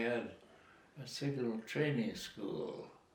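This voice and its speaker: The man talks at a very slow pace in a flat monotone. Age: 80s+. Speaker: war veteran. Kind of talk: interview answer.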